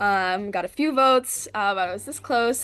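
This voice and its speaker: A woman with an American accent talks at a moderate pace in an unremarkable speaking voice, medium in pitch with ordinary pitch variation. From Philadelphia area, US. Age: 20s. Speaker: reality game contestant. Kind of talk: interview. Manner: casual, filler-heavy.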